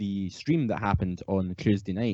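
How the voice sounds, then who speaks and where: With a Scottish accent, a man speaks in a dark, mellow tone. He moves at a fairly quick pace with ordinary pitch variation. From Scotland. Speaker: podcast host. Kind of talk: casual chat. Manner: mumbles thoughts together at times.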